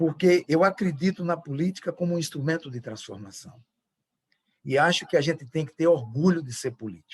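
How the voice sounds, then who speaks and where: Fairly high-pitched male voice with lively intonation. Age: 60s. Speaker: politician. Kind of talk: closing speech. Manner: halting.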